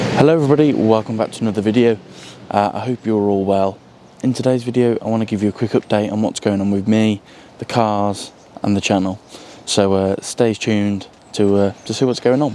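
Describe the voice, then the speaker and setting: A man's fairly low voice carries fairly even intonation as he talks at a fairly quick pace. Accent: British. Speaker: car hobbyist YouTuber. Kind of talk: casual vlog update. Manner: hesitant, many fillers.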